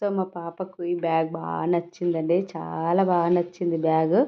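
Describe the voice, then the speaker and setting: A woman speaks with a fairly low pitch. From Telangana, India. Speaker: vlogger. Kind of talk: travel vlog narration. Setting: outdoors, touring streets and shops.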